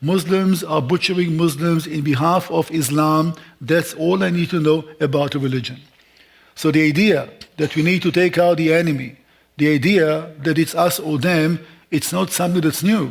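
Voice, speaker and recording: A man with a fairly high pitch and a non-native accent talks at a moderate pace, with fairly even intonation and very even loudness. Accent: foreign. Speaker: Israel seminar speaker. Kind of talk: lecture. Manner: speeds up when points matter; emotional, frustrated.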